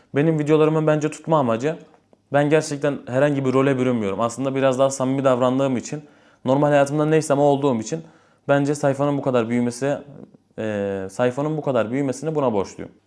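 Talking at a very fast pace, a man with a fairly high pitch and a dark, mellow tone keeps his intonation fairly even. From Istanbul, Turkey. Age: 20s. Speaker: imam and religious content creator. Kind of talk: casual Q&A vlog.

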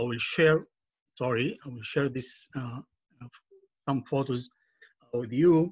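In an Arabic accent, the speaker talks at a very slow pace with long, frequent pauses and fairly even intonation. The voice is somewhat breathy, and the background is quiet. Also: man, medium pitch for a man, big swings in loudness. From Palestinian village in northern Israel near Nazareth. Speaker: nonprofit educator and activist. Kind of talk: online presentation. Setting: video call. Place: home room. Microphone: video call.

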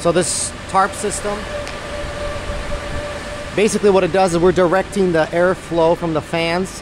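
The pace is fairly slow, with little pitch movement. Background noise is clearly audible. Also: man, high pitch for a man.

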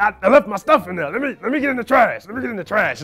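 A man's raspy, put-on character voice at an extremely high pitch and a very fast pace. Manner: pushy, demanding.

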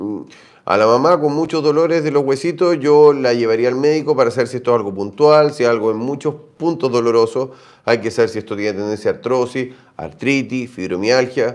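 Over a quiet background, a man with a Chilean accent talks at a fairly quick pace with ordinary pitch variation. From Chile, Santiago. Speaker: doctor answering viewer health questions. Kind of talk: live stream Q&A. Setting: livestream. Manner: animated. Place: home room. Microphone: phone near.

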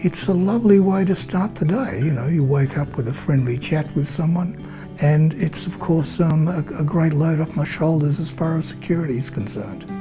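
A man's fairly high voice over clear background music. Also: ordinary pitch variation, moderate pace. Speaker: elderly recipient of a charity phone-call service. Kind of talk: testimonial interview answer. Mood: warm, grateful, calm. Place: home room.

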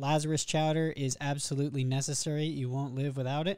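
Recorded with a quiet background, a man's voice has a dry sound with no echo. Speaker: gamer making a guide. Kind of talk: tutorial. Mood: relaxed, lightly joking. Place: home room. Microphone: studio mic.

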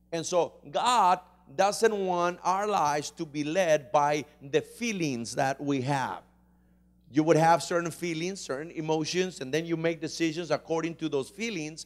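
A man speaks at a fairly slow pace, his pitch varying in an ordinary way. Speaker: pastor. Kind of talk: sermon. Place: church. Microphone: handheld.

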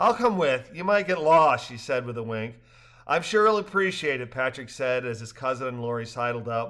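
What we hear is a natural reading voice.

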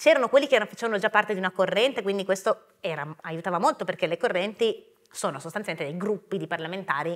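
Very fast, lively speech from a woman, over a quiet background. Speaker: politician. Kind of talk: live interview on stage. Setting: theatre stage with audience. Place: stage.

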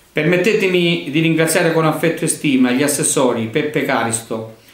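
Moderate-paced speech with ordinary pitch variation and audible room echo. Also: man. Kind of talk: formal address. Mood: formal, warm holiday greeting. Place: office. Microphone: camera far.

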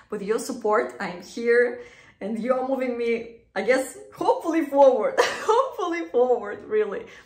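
With big swings in loudness, a woman speaks at a moderate pace and high pitch with ordinary pitch variation, an audible room echo over a quiet background. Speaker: beauty vlogger. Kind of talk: casual vlog chat. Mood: nervous but cheerful. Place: bathroom. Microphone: phone near.

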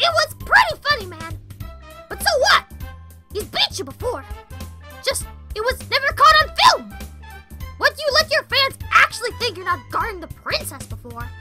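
A woman speaks in a cartoonish character voice at a moderate pace. Faint music plays in the background. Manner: sarcastic, casual.

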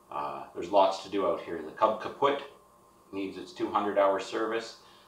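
This man keeps a moderate pace. Room echo is audible in the recording. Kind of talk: casual vlog chat. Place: garage. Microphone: camera far.

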